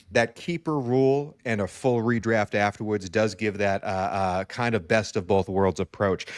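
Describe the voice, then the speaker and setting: An animated man with a fairly low pitch and ordinary pitch variation, hardly any pauses, a dry, close sound with no echo and a quiet background. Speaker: podcast host and fantasy football contestant. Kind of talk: casual interview chat. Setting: live stream. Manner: fast.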